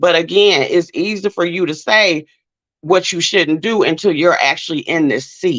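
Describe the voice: In a dry, close sound with no echo, a woman talks at a moderate pace, her pitch fairly low, her tone fairly bright and her pitch variation ordinary.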